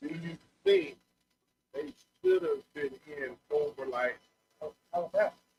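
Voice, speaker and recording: Long, frequent pauses break up a man's very slow speech, recorded dry and close with no echo. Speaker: sports talk show co-host. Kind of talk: casual chat. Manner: halting. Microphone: too quiet at first.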